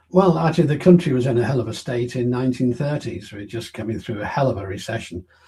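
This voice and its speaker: A man at a very fast pace with lively intonation and big swings in loudness, amid noticeable background noise. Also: medium pitch for a man, hardly any pauses. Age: 80s+. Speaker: interviewee on science and energy policy. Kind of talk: interview.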